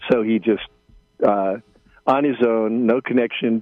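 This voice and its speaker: A man with an American accent speaks at a fairly slow pace in a monotone, flat intonation. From United States. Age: 70s. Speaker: journalist. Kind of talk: radio interview. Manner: halting, many fillers.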